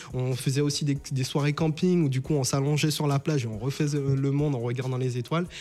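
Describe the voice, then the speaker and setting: His voice is fairly high-pitched, with a dark, mellow tone and fairly even intonation. The man talks at a fairly quick pace with hardly any pauses. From Saint-Martin, Caribbean. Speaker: entrepreneur. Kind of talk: interview. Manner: halting.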